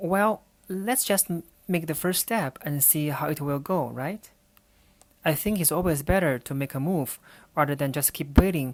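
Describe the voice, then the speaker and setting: Her voice is very deep and low for a woman. She speaks at a moderate pace with ordinary pitch variation. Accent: Chinese. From China. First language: Chinese. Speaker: podcast host, urban planner and researcher. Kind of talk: solo podcast monologue. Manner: slightly halting, non-fluent.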